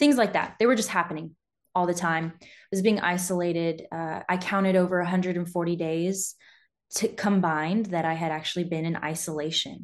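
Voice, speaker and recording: In an American accent, a woman with an unremarkable speaking voice talks at a fairly quick pace and a fairly low pitch. Her pitch varies in an ordinary way while her loudness swings a lot. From California. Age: 20s. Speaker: former military broadcast journalist. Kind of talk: interview.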